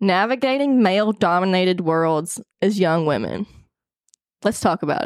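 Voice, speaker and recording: This woman talks with a Southern US accent at a medium pitch. Her pitch varies in an ordinary way, and the sound is dry and close with no echo. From Arkansas. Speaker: podcast host. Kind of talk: casual chat. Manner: animated.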